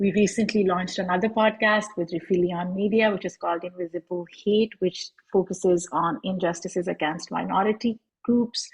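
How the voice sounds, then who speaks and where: With music in the background, a woman with a Pakistani accent speaks at a moderate pace in a medium pitch. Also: fairly even intonation. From Pakistan, Lahore. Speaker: podcast host and activist. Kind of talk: panel self-introduction.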